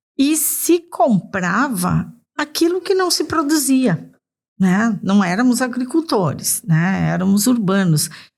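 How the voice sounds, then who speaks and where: Somewhat breathy, a woman talks at a very slow pace with very wide pitch swings and very even loudness. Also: fairly high pitch for a woman. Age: 60s. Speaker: nutrition and gastronomy specialist. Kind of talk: interview conversation.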